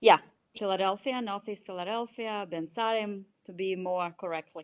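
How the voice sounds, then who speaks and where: Speaking at a moderate pace, a woman with a Russian accent uses a medium pitch and fairly even intonation. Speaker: chief financial officer. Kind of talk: interview. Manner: halting.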